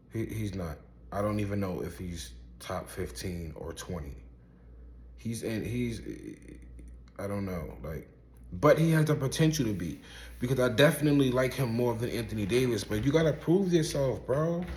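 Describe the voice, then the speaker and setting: A man with an American accent, fairly low, somewhat breathy and animated, with very wide pitch swings, a moderate pace, long, frequent pauses and audible room echo. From Brooklyn, New York (Coney Island). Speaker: rapper and basketball commentator. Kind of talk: casual opinion monologue.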